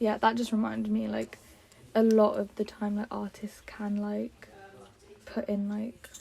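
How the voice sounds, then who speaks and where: The voice is soft-spoken. Its pace is fairly slow. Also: woman. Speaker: focus group participant. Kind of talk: casual chat.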